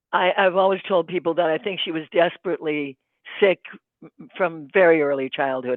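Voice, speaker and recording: A woman with a very deep, low pitch and ordinary pitch variation speaks at a fairly quick pace. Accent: American. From US Midwest, Saint Paul, Minnesota. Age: 80s+. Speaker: podcast guest, sibling of an activist. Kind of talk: interview testimony. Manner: halting, many fillers.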